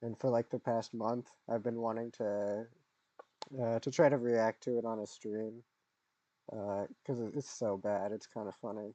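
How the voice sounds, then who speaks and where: The voice has a dark, mellow tone and a fairly slow pace. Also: man. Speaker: streamer. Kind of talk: casual commentary stream. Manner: hesitant, many fillers.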